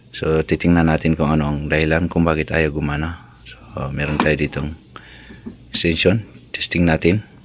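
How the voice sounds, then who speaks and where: A man with a very deep, low voice speaks at a moderate pace in a monotone, flat intonation over noticeable background noise. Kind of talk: tutorial. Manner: casual, conversational.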